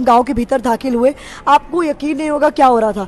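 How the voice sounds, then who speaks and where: Animated in tone, a woman with a high pitch speaks at a moderate pace with ordinary pitch variation. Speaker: TV news reporter. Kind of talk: casual conversation. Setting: social media live video.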